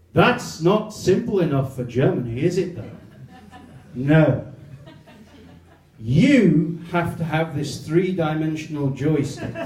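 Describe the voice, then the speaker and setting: A man with an English accent speaks at a very slow pace, leaving long, frequent pauses. His fairly high pitch carries lively intonation amid noticeable background noise and audible room echo. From England. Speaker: comedian. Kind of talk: stand-up.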